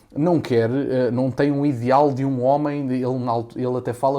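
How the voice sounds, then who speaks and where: An unremarkable speaking voice from a man, at a medium pitch and with fairly even intonation. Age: 20s. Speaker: content creator. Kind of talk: podcast interview answer.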